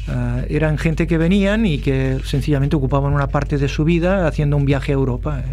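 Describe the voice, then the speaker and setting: Through audible room echo and noticeable background noise, a man talks at a fairly quick pace with hardly any pauses and very even loudness. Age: 60s. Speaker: retired basketball player and coach. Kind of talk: interview.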